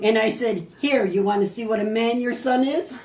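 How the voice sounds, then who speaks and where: A woman with an American accent talks at a moderate pace with ordinary pitch variation, with audible room echo and noticeable background noise. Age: 80s+. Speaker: grandmother telling family stories. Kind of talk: casual storytelling at family party. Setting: family birthday party. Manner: animated.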